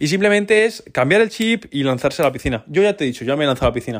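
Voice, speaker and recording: With lively intonation, this man rattles through his words at a very fast pace. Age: 20s. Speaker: entrepreneur podcaster. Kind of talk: casual solo podcast monologue.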